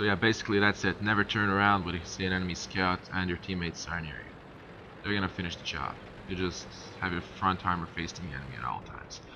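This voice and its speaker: This man's voice is very deep and low, with ordinary pitch variation. He talks at a very fast pace, and his loudness swings widely. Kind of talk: game tutorial commentary. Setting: low-quality microphone. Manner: casual.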